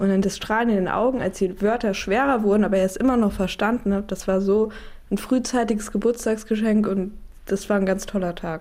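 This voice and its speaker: Speaking at a fairly brisk clip, this voice carries a dark, mellow tone and fairly level intonation. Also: woman, medium pitch for a woman. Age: 20s. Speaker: daughter of hearing-impaired man. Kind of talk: interview testimony.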